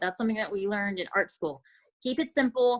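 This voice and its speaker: A woman speaks with a fairly high pitch and ordinary variation in it. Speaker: CBD affiliate marketer. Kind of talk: casual chat. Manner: fast.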